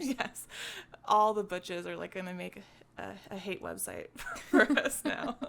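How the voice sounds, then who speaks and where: Fairly slow speech comes from a woman over noticeable background noise. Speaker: podcast co-host. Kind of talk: casual podcast conversation.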